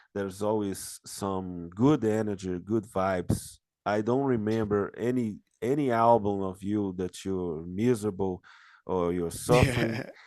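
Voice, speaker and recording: Fairly slow, fairly even speech in a dark, mellow tone with a Brazilian accent, over a quiet background. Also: man. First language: Portuguese. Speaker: interviewer. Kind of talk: interview. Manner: halting.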